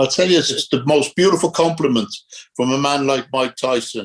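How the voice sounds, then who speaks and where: Speaking at a fairly quick pace, this man has a Dublin accent. His pitch is medium, with ordinary pitch variation. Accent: Irish (Dublin). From Ireland, Dublin. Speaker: former boxer. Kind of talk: casual interview.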